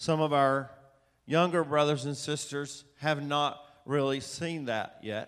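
At a very slow pace, a man with a Southern US accent talks at a fairly high pitch with fairly even intonation, room echo audible around him. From US South, Atlanta, Georgia. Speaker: preacher, author. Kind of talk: sermon. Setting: church with audience.

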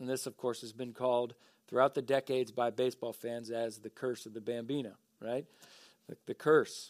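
A man's plain, everyday voice at medium pitch and moderate pace, dry and close with no echo, in a very clean recording with a silent background. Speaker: pastor. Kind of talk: sermon. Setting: church.

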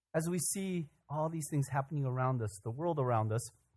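A man speaks at a moderate pace with lively intonation and a somewhat breathy voice, on a very clean recording with a silent background. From Korea, raised in US from childhood. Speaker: pastor. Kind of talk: sermon. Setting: church.

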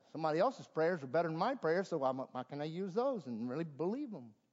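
A man with a Southern US accent speaks at a fairly high pitch, swinging very widely in pitch. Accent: Southern American. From US South, South Carolina. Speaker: pastor. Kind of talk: sermon. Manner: halting.

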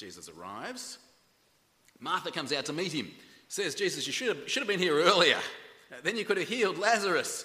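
A high-pitched man with an Australian accent, a bright, sharp tone, lively intonation, a fairly quick pace and long, frequent pauses. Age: 40s. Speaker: pastor. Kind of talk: sermon. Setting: church. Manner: halting.

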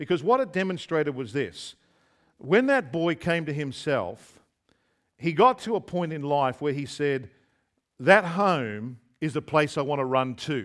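A man's fairly high, lively voice in an Australian accent, fairly slow, with long, frequent pauses, on a very clean recording with a silent background. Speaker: visiting preacher. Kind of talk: sermon. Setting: church.

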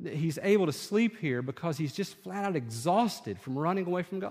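With very wide pitch swings, a high-pitched man speaks at a moderate pace. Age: 30s. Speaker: pastor. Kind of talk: sermon.

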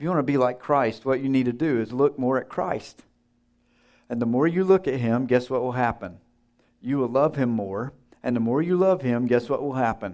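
Over a quiet background, a man with a medium pitch and ordinary pitch variation speaks at a moderate pace. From US South. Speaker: seminary teacher, guest preacher. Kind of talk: sermon. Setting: church. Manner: humorous, conversational.

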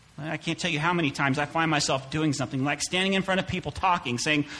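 A man speaks at a fairly high pitch for a man over noticeable background noise. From US Midwest (Claycomo, Missouri). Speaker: pastor. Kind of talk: sermon. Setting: church.

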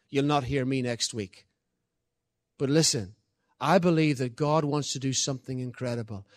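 A man with an Irish accent talks with ordinary pitch variation on a very clean recording with a silent background. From Ireland. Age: 50s. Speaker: guest preacher. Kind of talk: sermon. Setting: church. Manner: halting, repeats words.

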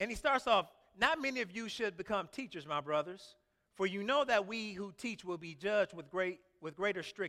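Raised and projected, a man's high-pitched voice carries an animated, warm tone with lively intonation at a moderate pace. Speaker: pastor. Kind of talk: sermon. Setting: church. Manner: animated, emphatic preaching cadence with exclamations and repeated words; warm, conversational and informal with the congregation.

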